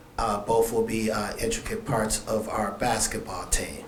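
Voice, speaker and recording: Audible room echo and noticeable background noise surround the speaker. A man talks at a moderate pace. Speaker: high school basketball coach. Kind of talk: press event speech. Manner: soft-spoken.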